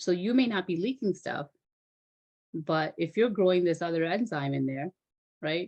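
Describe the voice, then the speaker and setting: A woman speaks in a fairly low voice with a non-native accent. Her intonation is lively, broken by long, frequent pauses. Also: moderate pace. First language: not English. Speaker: physician assistant. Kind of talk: online health talk. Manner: animated; halting over medical terms.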